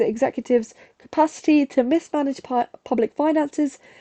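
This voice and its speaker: With a dry, close sound and no echo, a woman speaks at a high pitch in a dark, mellow tone with ordinary pitch variation. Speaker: student streamer. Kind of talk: revision livestream reading notes. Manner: stuttering.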